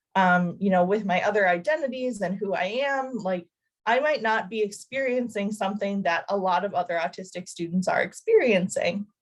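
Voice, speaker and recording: A woman speaks at a moderate pace in an ordinary speaking voice. Her pitch is medium, with ordinary pitch variation. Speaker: doctoral student presenter. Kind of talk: academic presentation. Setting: video call.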